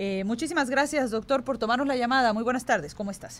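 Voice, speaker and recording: Her pitch sits fairly high. The woman speaks with lively intonation. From Yucatán Peninsula, Mexico. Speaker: radio host. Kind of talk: radio interview.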